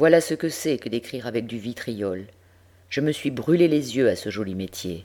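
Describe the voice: Lively intonation over plain reading aloud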